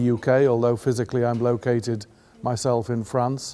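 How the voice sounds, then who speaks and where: This man has a medium pitch and a dark, mellow tone, speaking with an English accent. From England. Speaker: patient advocate. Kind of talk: interview. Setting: at a conference event in Ireland.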